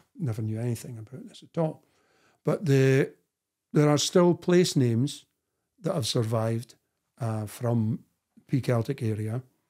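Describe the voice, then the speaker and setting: Over a quiet background, a man with a dark, mellow tone talks at a moderate pace, with long, frequent pauses, ordinary pitch variation and big swings in loudness. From Scotland, Dundee; Scotland. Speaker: historian and author; guest. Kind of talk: interview conversation. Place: home room.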